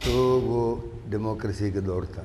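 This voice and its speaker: Over noticeable background noise and audible room echo, a man talks at a fairly low pitch. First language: not Urdu (speaking Hindi). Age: 80s+. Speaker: political activist. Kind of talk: panel discussion. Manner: halting.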